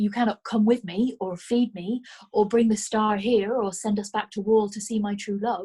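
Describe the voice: Fairly even intonation in plain reading aloud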